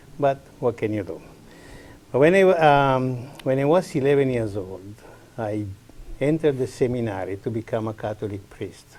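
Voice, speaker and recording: With an Italian accent, a man speaks at a moderate pace and medium pitch, his intonation lively and his speech marked by long, frequent pauses. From northern Italy, near Swiss border. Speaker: community farm leader. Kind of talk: interview.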